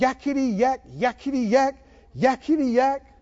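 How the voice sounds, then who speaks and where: A shrill, high-pitched put-on character voice shouts at a moderate pace. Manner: yelling, mocking.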